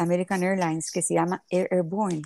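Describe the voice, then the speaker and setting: Here a woman talks at medium pitch with fairly even intonation. The recording is very clean with a silent background, and the sound is dry and close with no echo. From Nicaragua (born in Havana, Cuba). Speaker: philanthropist, plane crash survivor. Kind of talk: interview, personal story.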